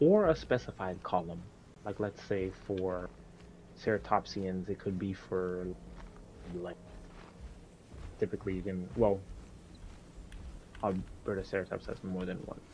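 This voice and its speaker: Soft-spoken and at a fairly slow pace, a man with a very deep, low pitch talks with ordinary pitch variation and long, frequent pauses. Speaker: gaming content creator. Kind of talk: casual chat. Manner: halting. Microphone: cutting out, noise suppression issues.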